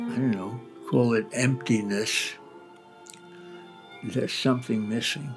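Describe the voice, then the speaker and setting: A man speaks at a fairly slow pace with long, frequent pauses, his medium pitch carrying fairly even intonation. Music plays in the background. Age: 80s+. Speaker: philosopher. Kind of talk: interview answer. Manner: slow, reflective.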